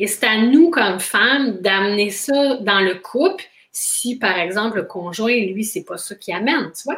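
A woman with a plain, everyday voice and a fairly high pitch speaks at a fairly slow pace, with lively intonation and big swings in loudness. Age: 40s. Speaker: intimacy coach. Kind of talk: interview.

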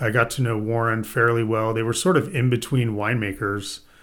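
On a very clean recording with a silent background, a man with a normal speaking voice and an American accent talks at a moderate pace and medium pitch. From US Midwest (Indiana). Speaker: winemaker. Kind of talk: casual interview.

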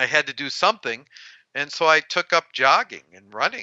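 This man has an ordinary speaking voice, pitched fairly high and moving at a moderate pace. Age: 60s. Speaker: heart attack survivor. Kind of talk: interview.

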